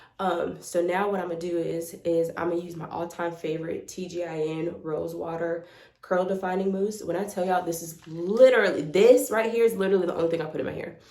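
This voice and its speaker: Over noticeable background noise and audible room echo, a woman speaks at a very fast pace with hardly any pauses, fairly low in pitch and fairly even in intonation. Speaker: beauty vlogger. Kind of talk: tutorial. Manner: casual, rambling with fillers.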